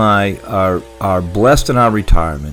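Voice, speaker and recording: A male voice with noticeable background noise. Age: 70s. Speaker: veteran doing yard cleanup, YouTuber. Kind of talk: casual vlog talk to viewers. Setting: home office, bedroom desk. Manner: halting, many fillers and repeats.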